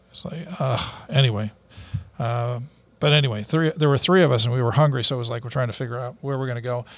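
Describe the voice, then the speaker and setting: Somewhat breathy and at a medium pitch, a man talks at a very fast pace with ordinary pitch variation. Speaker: podcast co-host. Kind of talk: casual chat. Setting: studio.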